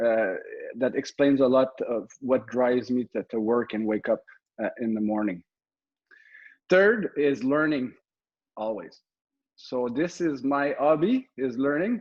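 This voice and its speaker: With a Quebec accent, the speaker goes at a fairly slow pace with lively intonation and long, frequent pauses. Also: man. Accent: Québécois French-accented English. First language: French. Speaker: military officer and real estate investor. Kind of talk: presentation. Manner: halting, many fillers and repeats.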